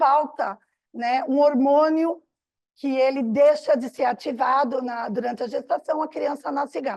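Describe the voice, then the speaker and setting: A woman's high-pitched voice with ordinary pitch variation at a fairly slow pace. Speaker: psychotherapist and bioenergetics teacher. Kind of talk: lecture.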